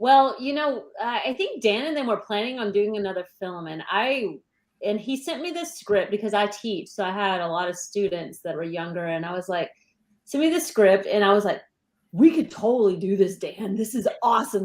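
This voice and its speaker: A woman with a plain, everyday voice and an American accent speaks at a moderate pace and medium pitch, using lively intonation and big swings in loudness. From Texas. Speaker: actress and teacher. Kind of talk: interview.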